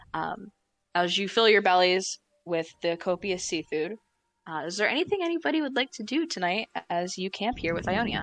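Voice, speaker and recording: In an American accent, a woman uses a normal speaking voice at medium pitch, with lively intonation, a moderate pace and a dry, close sound with no echo. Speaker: dungeon master. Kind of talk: tabletop roleplay narration. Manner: casual, with many fillers.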